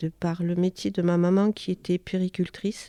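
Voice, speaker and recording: A woman at a medium pitch is heard in a dry, close recording with no echo, very clean and with a silent background. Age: 50s. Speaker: childminder. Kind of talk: self-introduction interview. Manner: hesitant, many fillers.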